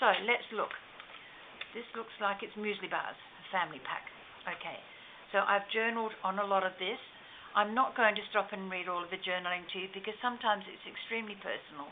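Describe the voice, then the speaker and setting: The voice moves at a fairly quick pace with fairly even intonation but big swings in loudness. Noticeable background noise runs underneath. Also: woman, medium pitch for a woman. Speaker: crafter. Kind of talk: show and tell tutorial. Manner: fast.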